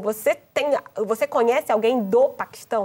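This woman speaks in a Brazilian accent with a fairly high pitch and lively intonation. The sound is dry and close, with no echo. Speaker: journalist. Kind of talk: panel discussion.

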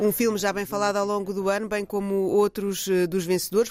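In a European Portuguese accent, the speaker talks at a fairly quick pace. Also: woman. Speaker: radio culture reporter. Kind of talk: radio segment, scripted news reading.

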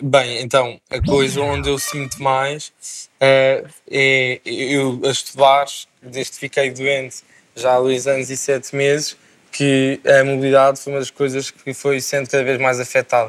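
Intonation is monotone and flat. The pace is fairly slow. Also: man, medium pitch for a man. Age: 20s. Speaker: medical student, wheelchair user. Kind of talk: TV panel discussion.

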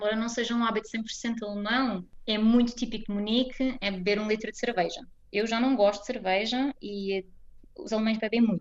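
This is an unremarkable speaking voice. It moves at a moderate pace with fairly even intonation. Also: woman, fairly high pitch for a woman. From Portugal, Almada. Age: 20s. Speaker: Portuguese expatriate interviewee. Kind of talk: interview.

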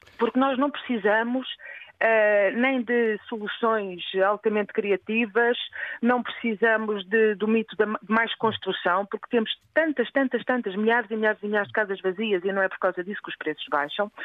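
Talking at a moderate pace, a woman has an ordinary speaking voice with a fairly high pitch and ordinary pitch variation. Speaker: housing activist, researcher. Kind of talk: phone-in activist appeal. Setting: phone call.

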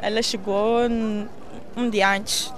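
A woman talks with fairly even intonation. Room echo is audible around her voice. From Mozambique, Maputo. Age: 20s. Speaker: university student. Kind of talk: interview.

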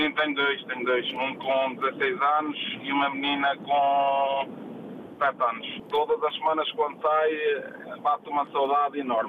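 Noticeable background noise surrounds speech delivered at a fairly slow pace with long, frequent pauses and fairly even intonation. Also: man, fairly high pitch for a man. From Portugal, Proença Nova (Castelo Branco district). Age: 40s. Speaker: truck driver. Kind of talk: phone-in interview.

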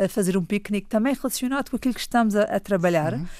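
A woman's voice with ordinary pitch variation. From Madeira, Portugal (Funchal). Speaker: children's author and storyteller. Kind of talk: radio interview. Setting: studio.

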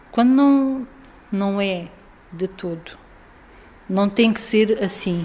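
A woman talks at a very slow pace with long, frequent pauses, using a medium pitch and ordinary pitch variation, against noticeable background noise. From Portugal, Algarve (Faro). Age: 30s. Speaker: former resident of a children's care home. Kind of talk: interview testimony. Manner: halting.

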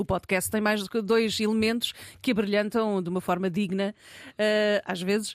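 This woman's voice sits at a medium pitch with monotone, flat intonation. Long, frequent pauses break up her speech on a very clean recording with a silent background. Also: moderate pace. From Lisbon area, Margem Sul. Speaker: journalist and podcaster. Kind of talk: casual chat. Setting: studio.

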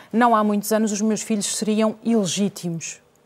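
A woman with an unremarkable speaking voice and fairly high pitch speaks at a fairly slow pace. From Portugal. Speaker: journalist and interviewer. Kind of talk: televised debate.

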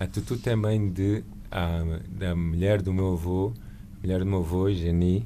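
Speaking at a fairly slow pace, a man with a very deep, low pitch and a dark, mellow tone is heard with audible room echo. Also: fairly even intonation. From Lisbon, Portugal. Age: 40s. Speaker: painter and visual artist. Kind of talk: radio interview.

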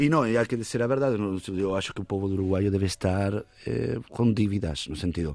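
A man with a fairly low voice speaks at a fairly quick pace, his intonation lively. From Uruguay. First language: Spanish (speaking Portuguese). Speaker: musician. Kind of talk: casual chat.

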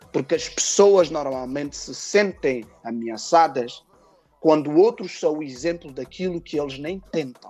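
Music plays behind a man whose fairly high voice shows ordinary pitch variation. He talks at a fairly slow pace with big swings in loudness. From Portugal, Cape Verdean family. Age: 30s. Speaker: rapper and music producer. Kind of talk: interview.

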